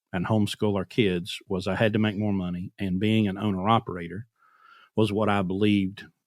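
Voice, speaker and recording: A man's normal speaking voice with fairly even intonation. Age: 40s. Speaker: truck owner-operator. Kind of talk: casual chat. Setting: podcast interview.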